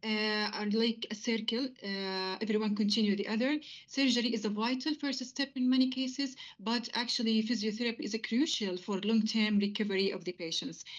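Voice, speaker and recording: A woman speaks with an Arabic accent in a fairly high, somewhat breathy voice. Her pitch varies in an ordinary way. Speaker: physiotherapist. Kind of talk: interview. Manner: fast; hesitant, many fillers.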